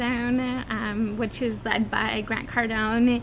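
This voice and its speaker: A woman talks with audible room echo and noticeable background noise around her. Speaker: video podcast co-host. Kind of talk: casual chat.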